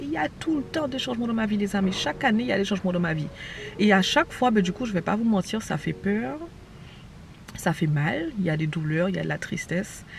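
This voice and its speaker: Her animated tone carries very wide pitch swings as this woman talks at a fairly quick pace and a medium pitch. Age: 20s. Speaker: vlogger and online entrepreneur. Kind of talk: casual vlog chat. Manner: fast.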